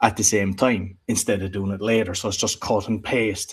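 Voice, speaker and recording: On a very clean recording with a silent background, a man with an Irish accent speaks at a fairly low pitch with fairly even intonation. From Ireland. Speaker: podcast producer and entrepreneur. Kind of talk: interview conversation.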